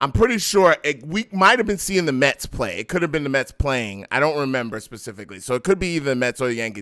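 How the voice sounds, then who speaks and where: In a New York accent, the voice races along at a very fast pace with a bright, sharp tone and lively intonation, on a very clean recording with a silent background. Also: man. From New York, Brooklyn. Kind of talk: casual chat. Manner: animated.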